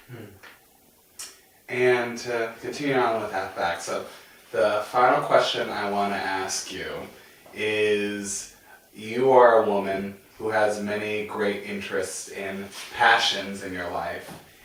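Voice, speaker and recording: A man talks at a very slow pace with long, frequent pauses and big swings in loudness, over noticeable background noise and audible room echo. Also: fairly low pitch for a man, fairly even intonation. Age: young. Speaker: interview show host. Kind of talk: interview.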